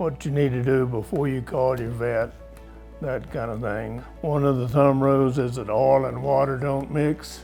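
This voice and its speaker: A man's medium-pitched voice at a moderate pace with fairly even intonation, music in the background and audible room echo. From rural America. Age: 80s+. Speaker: horseman and retired professor. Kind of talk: interview. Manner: conversational, some hesitations.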